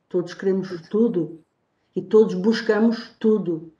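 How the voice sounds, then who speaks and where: The woman's tone is dark and mellow, at a medium pitch. She speaks at a fairly slow pace. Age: 50s. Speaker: TV talk show co-host. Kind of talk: TV panel discussion.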